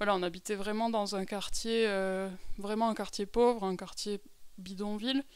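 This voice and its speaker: This woman speaks at a moderate pace with fairly even intonation. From France (Lot-et-Garonne). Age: 30s. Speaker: humanitarian aid worker. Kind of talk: testimony. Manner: halting, many fillers.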